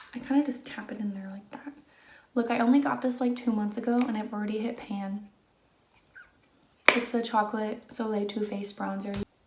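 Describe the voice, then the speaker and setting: Soft-spoken talk at a fairly quick pace with fairly even intonation, big swings in loudness, long, frequent pauses and noticeable background noise. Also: woman, fairly high pitch for a woman. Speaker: beauty vlogger. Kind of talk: chatty makeup tutorial. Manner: soft-spoken, normal conversational volume.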